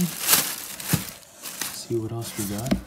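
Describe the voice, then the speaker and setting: A man talks over loud background noise. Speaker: product reviewer. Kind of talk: casual unboxing commentary. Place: home room. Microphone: phone near.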